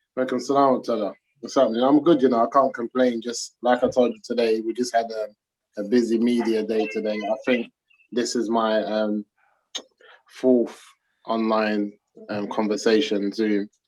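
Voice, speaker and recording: A man's medium-pitched voice with a London accent, at a moderate pace with long, frequent pauses. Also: fairly even intonation. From South London, England. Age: 30s. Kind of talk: interview. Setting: video call.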